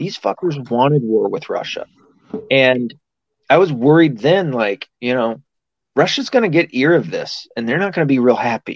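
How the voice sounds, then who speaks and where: A man with an American accent speaks at a moderate pace in a normal speaking voice, his pitch fairly high and his intonation lively. The sound is dry and close, with no echo. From US South. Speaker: podcast host. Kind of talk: casual chat.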